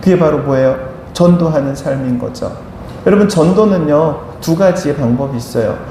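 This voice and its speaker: Speech comes at a moderate pace in a room with audible echo. Background noise is noticeable. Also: man. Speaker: pastor. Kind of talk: sermon.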